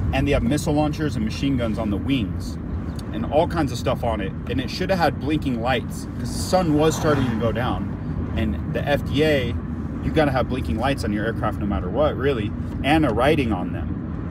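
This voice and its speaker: Over loud background noise, a man talks at a fairly quick pace in a dry recording with no echo. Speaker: storyteller vlogger. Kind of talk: casual vlog chat. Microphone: phone near.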